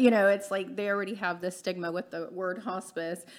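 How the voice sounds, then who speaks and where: This speaker has an American accent and talks at a moderate pace with fairly even intonation. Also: woman. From Texas, small town (Eagle Lake). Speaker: hospice co-founder. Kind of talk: casual interview chat.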